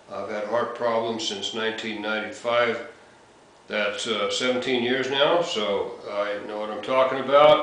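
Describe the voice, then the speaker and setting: Noticeable background noise and audible room echo fill this recording. A man speaks at a fairly slow pace with medium pitch and fairly even intonation. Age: 60s. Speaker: heart surgery patient and blogger. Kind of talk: casual talk to camera. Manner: halting, many fillers.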